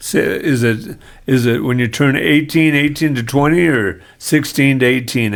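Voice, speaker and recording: The speaker's pitch varies in an ordinary way, with audible room echo around the voice. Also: man. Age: 60s. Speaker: podcast host. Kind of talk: casual chat. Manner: halting.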